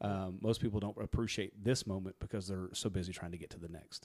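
A man with a Kentucky accent, talking at a very fast pace. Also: very clean recording, silent background. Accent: Kentucky Southern. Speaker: podcast co-host. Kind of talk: casual chat.

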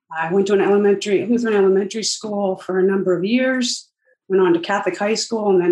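A normal speaking voice with an American accent and ordinary pitch variation. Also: woman. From Northern New Jersey. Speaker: company executive in family business. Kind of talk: interview.

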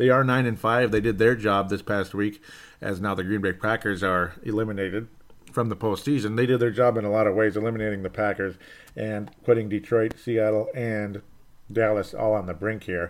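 A man with a normal speaking voice talks at a fairly quick pace and fairly low pitch, his intonation fairly even. The recording is very clean, with a silent background. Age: 30s. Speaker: sports podcast host. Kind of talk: casual solo sports commentary.

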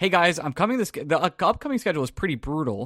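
On a very clean recording with a silent background, a man with an American accent talks at a fairly quick pace, his pitch swinging very widely. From Long Island, New York. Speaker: podcast host. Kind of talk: casual sports podcast banter.

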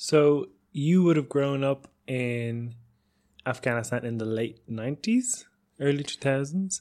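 This man has an Irish accent and a fairly high pitch. He speaks at a fairly slow pace with ordinary pitch variation. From Ireland. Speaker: radio documentary host. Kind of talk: interview. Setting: radio studio.

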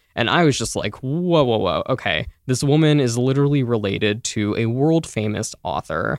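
A man using a normal speaking voice has a medium pitch and lively intonation as he talks at a moderate pace. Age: 20s. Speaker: food writer. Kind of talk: interview.

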